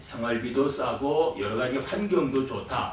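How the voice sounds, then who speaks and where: A man talks at a moderate pace, his pitch swinging very widely, with audible room echo and noticeable background noise in the recording. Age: 60s. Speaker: pastor. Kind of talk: conference presentation.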